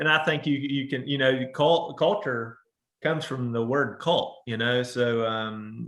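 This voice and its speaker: This man speaks with an Appalachian accent at a medium pitch. His pace is fairly slow. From Southern Ohio, Appalachia. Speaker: business owner. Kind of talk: interview. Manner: halting.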